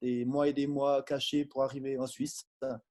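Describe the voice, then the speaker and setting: Fairly high in pitch, a man's dark, mellow tone moves at a moderate pace. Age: 40s. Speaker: lay preacher giving testimony, forester. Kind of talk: testimony. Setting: Zoom video call from his office.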